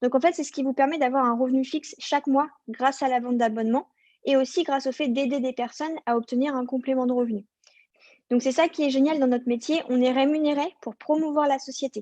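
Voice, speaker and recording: Dark, mellow tone, fairly even intonation and a fairly quick pace, with a dry, close sound and no echo. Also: woman, high pitch for a woman. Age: 20s. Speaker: network marketing business partner. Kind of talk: sales presentation to camera.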